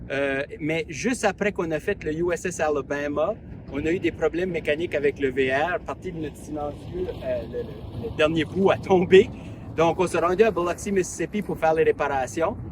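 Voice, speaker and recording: Noticeable background noise sits behind a man with an Acadian accent. His pitch is fairly high with ordinary variation, and his pace is moderate. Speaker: travel vlogger. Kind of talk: casual vlog narration. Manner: hesitant, many fillers.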